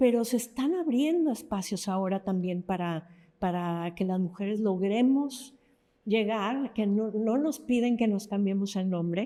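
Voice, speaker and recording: Her tone is dark and mellow, and her intonation lively. The woman speaks at a fairly slow pace. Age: 60s. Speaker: novelist. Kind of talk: interview conversation.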